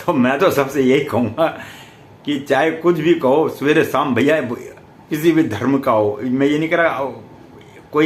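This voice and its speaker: Against noticeable background noise and audible room echo, a man speaks at a fairly high pitch with ordinary pitch variation. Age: 70s. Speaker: astrologer. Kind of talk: spiritual talk to camera.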